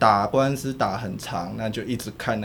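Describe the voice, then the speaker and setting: A man with a fairly low voice speaks with fairly even intonation, and the room echo is audible. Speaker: political journalist. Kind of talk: casual chat.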